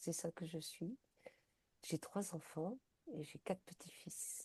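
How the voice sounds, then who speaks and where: A woman's fairly low, somewhat breathy voice, dark and mellow in tone, at a fairly slow pace. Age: 60s. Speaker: peer-support counselor for quitting smoking. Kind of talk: interview. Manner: hesitant, many fillers.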